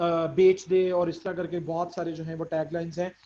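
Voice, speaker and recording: A man speaks at a moderate pace. His voice is high in pitch with a dark, mellow tone. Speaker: course instructor. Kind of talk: lecture. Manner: halting.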